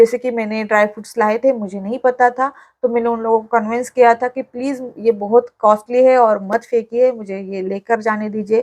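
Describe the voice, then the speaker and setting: With a Marathi accent, a woman speaks at a fairly high pitch and a moderate pace. Her intonation is monotone and flat, and the sound is dry and close with no echo. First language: Marathi (speaking Hindi). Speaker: vlogger. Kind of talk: vlog tutorial. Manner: hesitant fillers.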